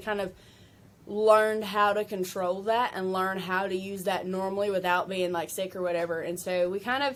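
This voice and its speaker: A woman talks with a Southern US accent. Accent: country Southern. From Kentucky. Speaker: country singer-songwriter. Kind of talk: interview chat. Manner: casual, many fillers.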